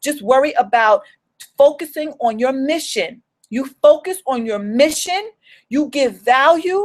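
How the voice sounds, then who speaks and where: Her voice sits high for a woman, animated and with lively intonation. She goes at a fairly slow pace. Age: 40s. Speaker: home business coach. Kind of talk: motivational livestream talk. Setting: solo live video stream.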